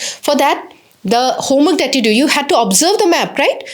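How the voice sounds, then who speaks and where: Against noticeable background noise, a woman with an Assamese accent speaks at a moderate pace in a high pitch with lively intonation. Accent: Assamese-accented Indian English. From Assam, India. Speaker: English teacher. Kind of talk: lecture.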